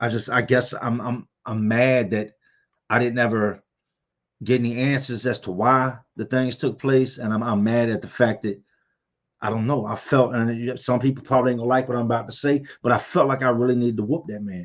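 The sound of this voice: This man has a medium pitch and a moderate pace. His intonation stays fairly even.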